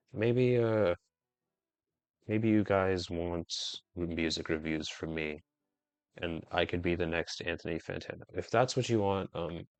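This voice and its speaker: Over music in the background, a man speaks at a very deep, low pitch with ordinary pitch variation. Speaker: gaming youtuber. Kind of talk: casual monologue while gaming. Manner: stuttering, stumbling; rambling, hesitant.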